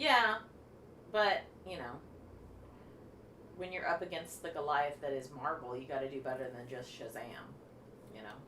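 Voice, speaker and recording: A woman with a very deep, low pitch speaks at a moderate pace with lively intonation and long, frequent pauses. Noticeable background noise, audible room echo and big swings in loudness run through the recording. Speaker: talk show co-host. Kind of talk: casual chat. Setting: live stream. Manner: animated. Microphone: echoey sound.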